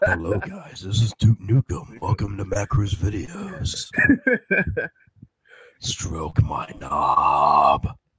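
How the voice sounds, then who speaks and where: A put-on character voice at a very slow pace, with long, frequent pauses. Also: man, medium pitch for a man. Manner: gruff, cocky.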